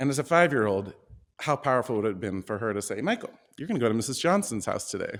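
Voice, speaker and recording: Over a very clean recording with a silent background, a man talks at a very fast pace with an American accent and very wide pitch swings. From Oregon. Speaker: performing artist. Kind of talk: personal storytelling.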